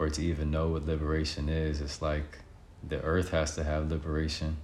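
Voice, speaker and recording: A man with a very deep, low pitch speaks in a calm tone and monotone, flat intonation. Audible room echo surrounds him. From Connecticut, US (Bridgeport). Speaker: artist and healer. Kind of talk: interview.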